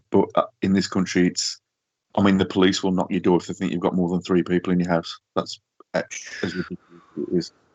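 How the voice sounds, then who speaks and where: Speaking at a very fast pace with a Yorkshire accent, a man keeps a very deep, low pitch and a monotone, flat intonation. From northern England. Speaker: social media paranormal page runner. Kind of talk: casual chat.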